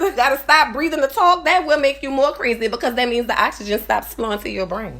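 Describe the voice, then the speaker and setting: Talking at a fairly quick pace, a woman with a New Orleans accent makes very wide pitch swings. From New Orleans, Louisiana. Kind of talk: casual live stream talk to camera. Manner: rambling, conversational.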